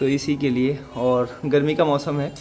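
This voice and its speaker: A man speaks with faint music in the background. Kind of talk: casual tutorial narration. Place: farm. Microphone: phone near.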